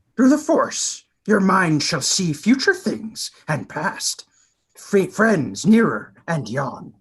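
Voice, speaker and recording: A man speaks very slowly in a put-on character voice pitched high for a man. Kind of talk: Shakespearean verse reading. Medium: stage play. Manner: inverted word order, calm, sage.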